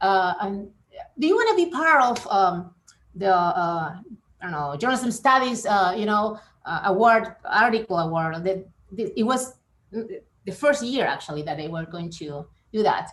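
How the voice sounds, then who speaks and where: A woman with a Spanish accent, medium in pitch, at a moderate pace with big swings in loudness. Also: lively intonation. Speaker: professor. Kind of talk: interview. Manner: halting, many fillers and repetitions.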